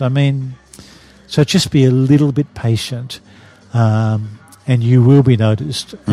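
The voice, in an Australian accent, has a dark, mellow tone and a somewhat breathy quality. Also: man. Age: 60s. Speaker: retired advertising executive. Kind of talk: interview. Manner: halting.

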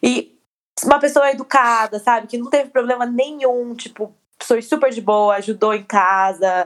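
A woman speaks in a plain, everyday voice with a fairly high pitch. Her pace is moderate, and her pitch variation is ordinary. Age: 20s. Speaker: podcast co-host. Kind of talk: casual chat.

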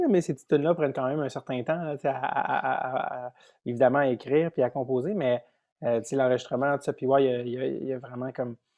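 Speaking with a Quebec accent, a man keeps a medium pitch and fairly even intonation at a fairly slow pace. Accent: Québécois French. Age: 30s. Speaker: comedian and podcaster. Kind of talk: casual chat.

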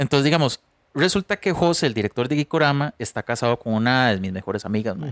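With a Costa Rican accent and lively intonation, a man is heard on a very clean recording with a silent background and a dry, close sound with no echo. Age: 30s. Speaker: podcast co-host, musician. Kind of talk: casual chat.

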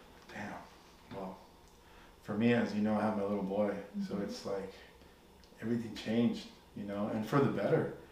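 A man at a fairly low pitch, monotone and flat, fairly quick yet with long, frequent pauses, amid noticeable background noise and audible room echo. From Mexican-American family from Jalisco, raised in the US. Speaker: music producer and tech worker. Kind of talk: casual chat.

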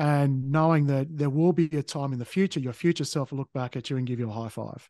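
A man's fairly high-pitched voice at a moderate pace, fairly even in intonation, with a dry, close sound, no echo and a quiet background. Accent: Australian. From Tasmania, Australia. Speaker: podcast host, spiritual guest. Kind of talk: interview, personal story. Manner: halting, many fillers.

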